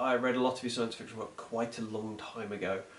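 A man's voice over noticeable background noise. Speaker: book reviewer. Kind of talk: casual book review to camera.

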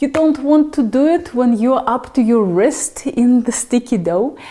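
Her pitch high, a woman speaks at a fairly slow pace. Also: ordinary pitch variation. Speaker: cooking instructor. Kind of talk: tutorial. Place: kitchen.

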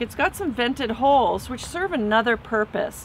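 A woman speaks at a moderate pace with lively intonation. The sound is dry with no echo, over light background noise. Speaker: dive gear instructor. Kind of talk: tutorial. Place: garden.

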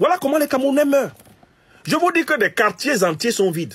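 A man's voice with very wide pitch swings, against a quiet background. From Cameroon. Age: 50s. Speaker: political commentator. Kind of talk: political commentary monologue. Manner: animated.

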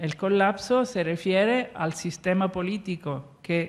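A woman speaks very slowly in an Italian accent. Her pitch is fairly low, with ordinary variation. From Italy. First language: Italian (speaking Spanish). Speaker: archaeologist, professor; conference speaker. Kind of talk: lecture. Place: stage. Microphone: handheld.

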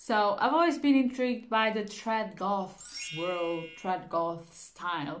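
Lively intonation marks a woman's very slow speech. The background is quiet. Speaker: beauty vlogger. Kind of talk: casual vlog chat. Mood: cheerful, playful. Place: home room. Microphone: phone near.

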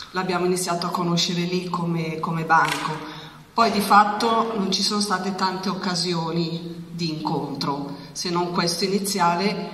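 Against light background noise and audible room echo, a woman speaks at a fairly slow pace with fairly even intonation. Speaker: charity president. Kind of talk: public speech. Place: hall. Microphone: handheld.

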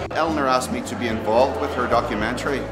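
A man speaks at a fairly quick pace while music sounds in the background. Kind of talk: interview answer. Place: hall.

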